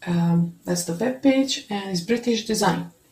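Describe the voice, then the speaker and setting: A woman speaks with a non-native accent and ordinary pitch variation. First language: not English. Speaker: video blogger reviewing cookware. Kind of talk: product review, unboxing. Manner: halting, with many fillers. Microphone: phone near.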